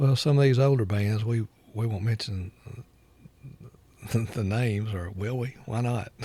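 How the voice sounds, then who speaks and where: Speaking with an Alabama accent, a man uses a dark, mellow tone that is somewhat breathy, with fairly even intonation and long, frequent pauses. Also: medium pitch for a man, moderate pace. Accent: Southern US (Alabama). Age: 60s. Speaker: record store owner. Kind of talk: casual chat. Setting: record store.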